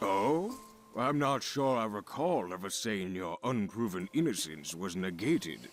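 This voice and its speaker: Doing a put-on character voice, a man with a fairly low pitch speaks at a moderate pace while clear music plays in the background. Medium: video game. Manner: cold, condescending, deliberate.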